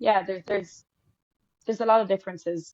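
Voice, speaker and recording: A woman with an Irish accent talks at a fairly quick pace, recorded with a dry, close sound and no echo. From Ireland. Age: 20s. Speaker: actor and singer. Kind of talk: interview answers.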